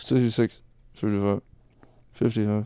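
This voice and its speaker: A man mumbles in a put-on character voice at a fairly low pitch and a moderate pace. The sound is dry and close, with no echo. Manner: mumbling with little mouth movement.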